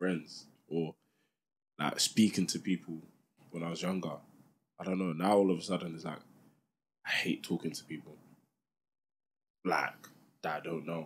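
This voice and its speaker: A man speaks with a very deep, low pitch at a moderate pace. He takes long, frequent pauses, and his loudness swings widely. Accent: London. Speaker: podcast co-host. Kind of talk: casual chat.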